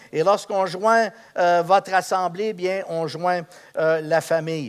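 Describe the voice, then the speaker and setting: A man at a high pitch and a very slow pace. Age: 70s. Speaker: pastor. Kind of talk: sermon. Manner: hesitant, many fillers.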